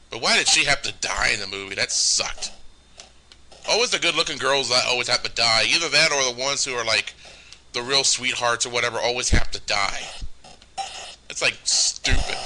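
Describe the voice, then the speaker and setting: A man at medium pitch with ordinary pitch variation, long, frequent pauses, and noticeable background noise. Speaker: gaming let's play host. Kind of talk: casual game commentary. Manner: halting, many restarts.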